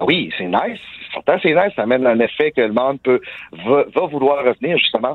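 A man speaks at a fairly quick pace in an unremarkable speaking voice. His pitch sits fairly high, with lively intonation. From Quebec, small village. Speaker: professional wrestler. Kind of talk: interview.

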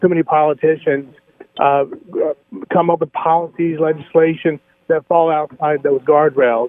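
At a moderate pace, a man speaks with a fairly high pitch and monotone, flat intonation. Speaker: caller. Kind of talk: call-in comment. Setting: phone call.

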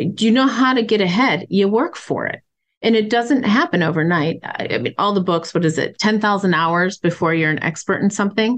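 At a fairly quick pace, a woman with an unremarkable speaking voice talks at a medium pitch with lively intonation. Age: 40s. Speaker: company CEO and founder. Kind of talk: interview.

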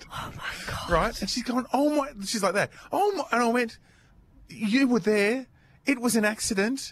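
A man with an Australian accent talks at a moderate pace, his pitch extremely high for a man and varying in an ordinary way. Noticeable background noise runs underneath. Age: 50s. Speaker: podcast co-host. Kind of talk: casual chat.

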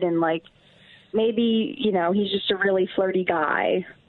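A woman talks with an American accent and ordinary pitch variation. Noticeable background noise can be heard. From Cleveland area, Ohio. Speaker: caller. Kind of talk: call-in confession on morning radio.

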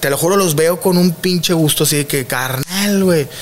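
The intonation is lively and the pace moderate. Background noise is noticeable. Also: man. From Monterrey, northern Mexico. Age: 30s. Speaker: comedian. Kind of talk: casual chat.

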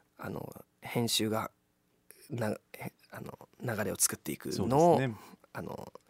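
A man's medium-pitched voice with vocal fry and lively intonation, fairly slow with long, frequent pauses and big swings in loudness, in a dry, close sound with no echo. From Kobe, Japan. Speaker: actor and musician. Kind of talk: radio interview.

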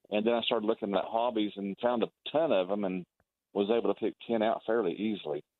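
At a very fast pace, a man speaks with a fairly low pitch and ordinary pitch variation. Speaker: pop culture commentator. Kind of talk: casual radio talk. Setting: phone call.

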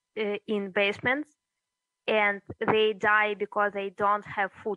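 A woman speaks at a medium pitch with a Russian accent. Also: dry, close sound with no echo. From Russia, then eastern Ukraine (Donetsk). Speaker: journalist and media founder. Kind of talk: interview. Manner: halting.

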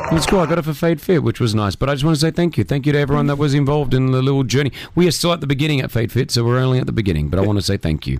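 Over noticeable background noise, a man talks very fast at medium pitch. His intonation is lively and his loudness very even. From Australia. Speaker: radio host. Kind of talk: casual chat. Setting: studio. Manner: animated.

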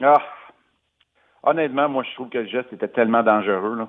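A man speaks with a Quebec accent. His intonation stays fairly even. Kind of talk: sports chat. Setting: phone call.

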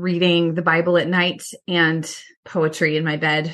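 A normal speaking voice with an American accent, at a moderate pace. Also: woman. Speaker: professor and author. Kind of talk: casual interview conversation about reading and faith. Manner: thoughtful, warm, laughs often.

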